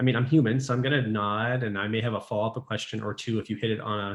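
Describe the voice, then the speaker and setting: A man with a Canadian accent talks at a very fast pace, his voice somewhat breathy. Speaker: pediatric resident physician. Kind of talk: casual interview chat. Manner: talkative.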